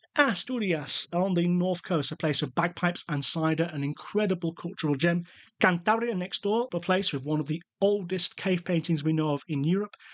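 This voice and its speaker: Against a quiet background, a man with a British accent talks at a moderate pace and a high pitch, with ordinary pitch variation. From UK. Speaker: travel podcast host. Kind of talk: podcast monologue.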